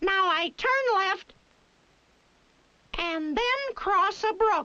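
Extremely high pitch in a cartoonish character voice, at a very slow pace. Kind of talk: cartoon character dialogue. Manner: cheerful, chatty.

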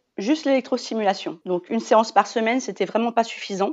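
This woman has an ordinary speaking voice, fairly high in pitch, with ordinary pitch variation. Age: 40s. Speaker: mother sharing weight-loss story. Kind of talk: casual interview.

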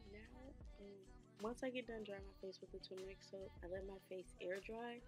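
Clear music plays in the background. A woman speaks at a moderate pace with fairly even intonation. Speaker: beauty vlogger. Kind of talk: casual vlog chat.

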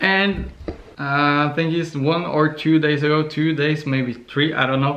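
A man with a Norwegian accent speaks at a fairly slow pace in a fairly high pitch, keeping very even loudness and a monotone, flat intonation. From Norway. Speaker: vlogger. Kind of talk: casual vlog. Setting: on the couch. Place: home room. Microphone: phone near.

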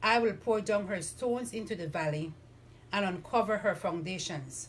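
A woman's medium-pitched, somewhat breathy voice with lively intonation, at a moderate pace. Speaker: lay reader. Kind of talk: scripture reading. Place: home room. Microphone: camera far.

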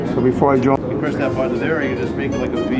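Man speaking with clear music in the background. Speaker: store staff instructor. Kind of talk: tutorial. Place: shop.

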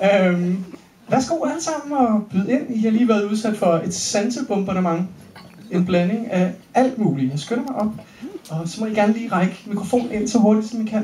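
Speech moves at a fairly quick pace. There is audible room echo and light background noise. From Denmark. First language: Danish. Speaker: Q&A moderator. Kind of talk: audience Q&A after a film screening. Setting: stage with audience at a cinema. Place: hall.

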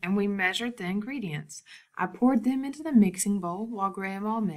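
The speaker does plain reading aloud.

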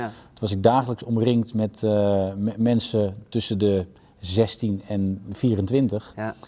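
Very slowly, the speech unfolds in a dark, mellow tone. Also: man, fairly low pitch for a man. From Netherlands. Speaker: TV director and voice actor. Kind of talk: interview answer. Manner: enthusiastic. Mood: relaxed, reflective. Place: stage. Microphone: lapel.

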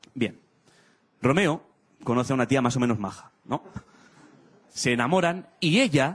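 A man is speaking here. His intonation is lively. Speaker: stand-up comedian. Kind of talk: stand-up comedy monologue. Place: stage. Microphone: handheld.

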